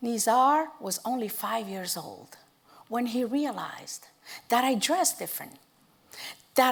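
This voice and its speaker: With lively intonation and a fairly high pitch, a woman speaks in a non-native accent. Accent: foreign. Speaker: storyteller. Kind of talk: speech to an audience.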